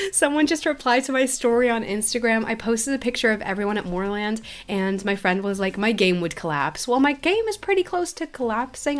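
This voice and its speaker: Speaking at a fairly quick pace, a woman uses a fairly high pitch, an animated tone and very wide pitch swings. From Belgium, Flanders. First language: Dutch. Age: 20s. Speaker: livestreaming gamer. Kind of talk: casual livestream chat reading viewer questions. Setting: livestream.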